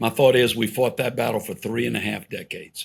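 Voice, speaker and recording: Speaking fairly quickly with vocal fry, a man keeps a medium pitch and fairly even intonation. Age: 60s. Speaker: pro-family policy organization leader. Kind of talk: podcast interview conversation.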